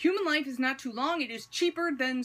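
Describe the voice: Fairly quick delivery in a put-on character voice. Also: female-sounding voice, high pitch for a woman.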